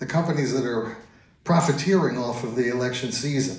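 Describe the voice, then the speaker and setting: A man with an American accent and lively intonation, in audible room echo. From US Northeast, Long Island, New York. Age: 70s. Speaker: stand-up comedian. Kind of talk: stand-up. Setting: stage with audience.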